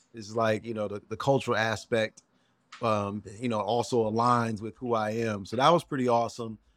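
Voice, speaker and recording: There is a man speaking at a medium pitch. He keeps a moderate pace and fairly even intonation. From Chicago South Side. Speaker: TV travel host and entrepreneur. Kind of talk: casual interview.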